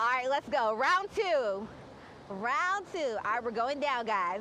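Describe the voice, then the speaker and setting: A woman's raised, projected voice in an American accent, upbeat in tone, with very wide pitch swings over noticeable background noise. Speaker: television news reporter. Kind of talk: casual, playful on-location feature reporting. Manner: upbeat, conversational.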